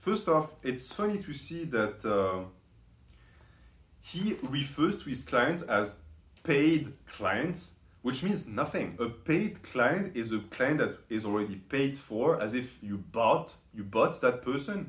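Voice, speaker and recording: In a room with audible echo, a man with a non-native accent talks at a fairly slow pace, his fairly high, somewhat breathy voice making very wide pitch swings. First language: not English. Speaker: YouTube commentator. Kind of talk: commentary video monologue. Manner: frequent fillers and self-corrections.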